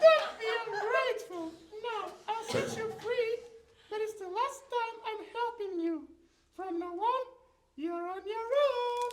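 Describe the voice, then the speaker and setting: Cartoonish character voice at an extremely high pitch, fairly slow, with long, frequent pauses. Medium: puppet. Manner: scolding, exasperated.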